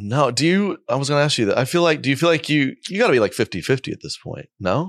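With an American accent, a man races along at a very fast pace, his fairly high voice swinging very widely in pitch and showing vocal fry, all on a very clean recording with a silent background. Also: dry, close sound with no echo. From Oklahoma. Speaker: comedian. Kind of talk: casual chat.

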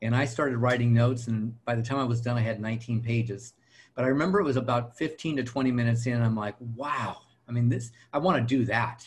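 A somewhat breathy voice with an American accent moves at a fairly quick pace with fairly even intonation. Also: man, medium pitch for a man. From Southern California. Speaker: real estate coach and trainer. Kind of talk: interview.

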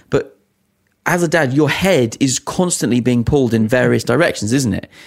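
This man speaks at a fairly quick pace with lively intonation. Vocal fry creeps into his voice. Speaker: podcast co-host. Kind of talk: casual chat.

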